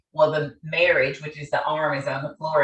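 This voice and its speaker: Speaking at a moderate pace in a Southern US accent, a woman sounds animated. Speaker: therapist and conference speaker. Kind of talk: conference presentation. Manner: loud, animated.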